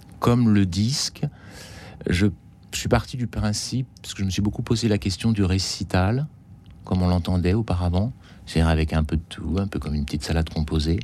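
The speaker has a dark, mellow tone and lively intonation, moving at a fairly quick pace broken by long, frequent pauses. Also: man, very deep, low pitch for a man. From Martinique. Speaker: concert pianist. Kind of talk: radio interview. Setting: radio studio.

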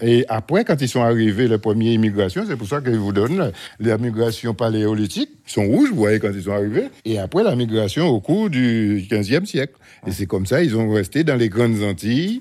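A man's dark, mellow voice at medium pitch and moderate pace, on a very clean recording with a silent background. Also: ordinary pitch variation. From Guadeloupe, Pointe-Noire. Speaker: eco-museum founder. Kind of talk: guided tour.

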